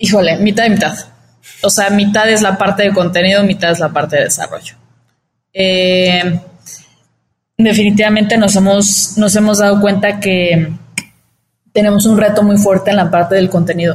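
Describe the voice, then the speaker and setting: Somewhat breathy, a woman speaks at a moderate pace and medium pitch in a monotone, flat intonation, her loudness very even and her pauses long and frequent. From Mexico, Cancún. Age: 20s. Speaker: startup founder. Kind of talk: interview.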